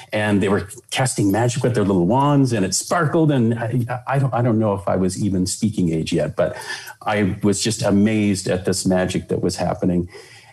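This somewhat breathy voice with an American accent moves at a fairly quick pace, holding very even loudness and ordinary pitch variation. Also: man, fairly low pitch for a man. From California. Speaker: Disney animator and attractions director. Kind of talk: interview. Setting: video call.

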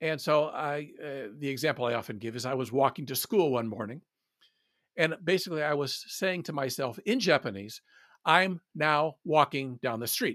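In a plain, everyday voice, a man with an American accent speaks at a fairly high pitch with lively intonation, the sound dry and close with no echo. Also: moderate pace, very clean recording, silent background. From US South (Atlanta, Georgia). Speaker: translator and former corporate PR manager. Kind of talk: interview conversation.

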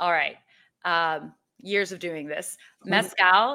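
A woman with a medium pitch and a bright, sharp tone speaks with fairly even intonation in a very clean recording with a silent background. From Mexico (Mexico City). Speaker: spirits writer and drinks entrepreneur. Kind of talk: interview.

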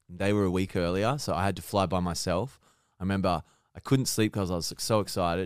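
In a very clean recording with a silent background, a man with an Australian accent speaks very fast at a very deep, low pitch with ordinary pitch variation. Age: 30s. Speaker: content creator. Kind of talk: casual chat.

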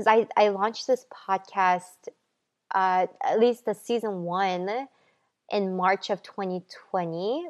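Speaking at a very slow pace, a woman with a medium pitch keeps her intonation fairly even in a dry, close sound with no echo. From South Korea. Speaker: podcast host. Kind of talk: motivational monologue.

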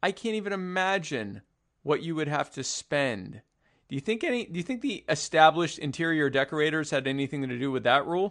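Over a quiet background, a man talks at a fairly quick pace in a plain, everyday voice, fairly high in pitch, with lively intonation. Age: 30s. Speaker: podcast co-host, libertarian activist. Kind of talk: casual political chat.

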